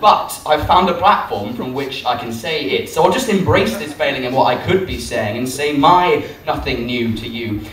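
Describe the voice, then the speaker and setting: A man talks at a fairly slow pace. Behind him, music plays. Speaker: poet. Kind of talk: live spoken word poetry performance. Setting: live venue, nightclub.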